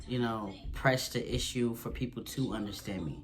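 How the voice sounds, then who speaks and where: Amid noticeable background noise and audible room echo, a man of medium pitch speaks at a moderate pace with fairly even intonation. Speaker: vlogger. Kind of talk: casual Q&A vlog. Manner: casual, halting with restarts.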